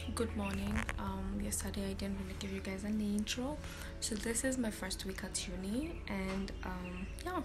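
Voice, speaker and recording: A woman at a moderate pace with clear music in the background. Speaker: university student vlogger. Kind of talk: casual vlog chat. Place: home room. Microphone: phone near.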